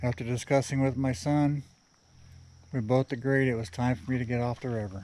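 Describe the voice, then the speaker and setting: This man speaks at a medium pitch and a fairly quick pace, with ordinary pitch variation and long, frequent pauses. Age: 50s. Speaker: kayaker vlogger. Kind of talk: outdoor vlog narration. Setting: outdoors at river boat ramp. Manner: casual, halting.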